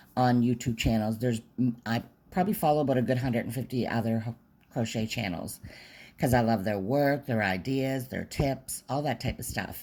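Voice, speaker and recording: Her pitch very deep and low, a woman speaks in a dark, mellow tone on a very clean recording with a silent background. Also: ordinary pitch variation, fairly quick pace. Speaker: crochet tutorial maker. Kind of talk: tutorial.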